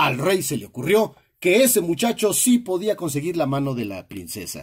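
A man with a fairly high pitch and a warm, animated tone speaks at a moderate pace with very wide pitch swings, on a very clean recording with a silent background. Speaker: storyteller. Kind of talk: scripted storytelling narration of a children's fairy tale, read aloud. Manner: animated storyteller, expressive with exclamations and dramatic emphasis; warm, friendly, addressing the audience directly.

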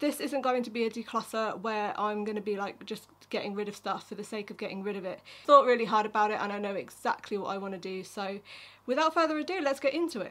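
Talking very fast, a woman uses a fairly high pitch with ordinary pitch variation. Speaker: beauty vlogger. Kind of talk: casual talk to camera. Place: home room.

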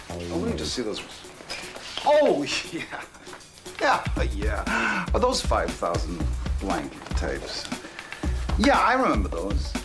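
A man speaks at a very slow pace with long, frequent pauses. Clear music plays in the background. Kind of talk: scripted drama dialogue. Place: shop.

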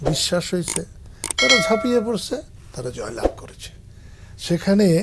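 There is noticeable background noise. Over it, a man talks with lively intonation. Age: 70s. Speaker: veteran politician. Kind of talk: interview.

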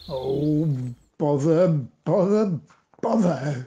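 The voice is a put-on character voice. Its pitch sits in the middle range. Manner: grumpy, annoyed.

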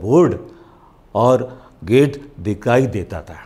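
A man speaks with a dark, mellow tone. Vocal fry runs through his voice. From India. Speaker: voice over artist. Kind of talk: motivational talk. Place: studio. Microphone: lapel.

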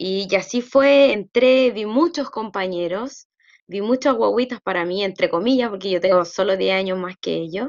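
At a moderate pace, a woman with a medium pitch speaks against a quiet background. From Chile. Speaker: student. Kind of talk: testimony. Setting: video call. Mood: warm, proud, smiling. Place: home room. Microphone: video call.

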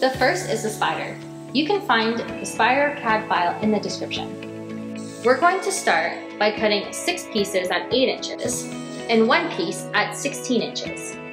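Clear music sounds in the background. A woman speaks at a fairly slow pace. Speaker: welding instructor. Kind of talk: tutorial. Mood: friendly, upbeat. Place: workshop. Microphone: lapel.

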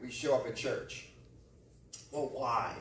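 A man speaks at a fairly slow pace with audible room echo and light background noise. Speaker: pastor. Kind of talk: sermon. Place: church. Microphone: camera far.

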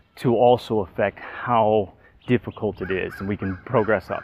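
Music plays behind a man's voice. The sound is dry, with no echo. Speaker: fitness instructor. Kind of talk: workout tutorial. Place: garden.

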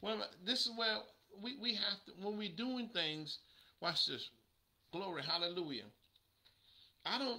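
A man's high, raised and projected voice, bright and sharp in tone, with lively intonation, a moderate pace and long, frequent pauses. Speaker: preacher. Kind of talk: sermon. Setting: livestream. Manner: animated. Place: home room. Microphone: webcam.

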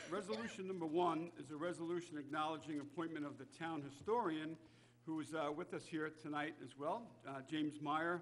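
A man talks fairly quickly, his intonation fairly even, with light noise behind him. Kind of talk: meeting chairing. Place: meeting room. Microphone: podium.

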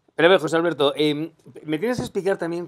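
A man with a Castilian accent, high-pitched, against a quiet background. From Spain. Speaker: interview show host. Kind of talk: interview. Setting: hotel room. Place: home room.

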